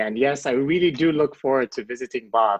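A man speaks in an Ethiopian accent. He talks at a very fast pace. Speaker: asylum seeker. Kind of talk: interview.

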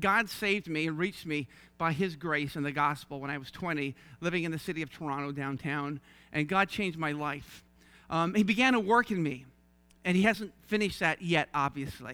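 A bright, sharp tone at a fairly quick pace with ordinary pitch variation, on a very clean recording with a silent background. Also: man, fairly high pitch for a man. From Newfoundland, St. John's. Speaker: missionary preacher. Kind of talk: sermon. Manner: fast.

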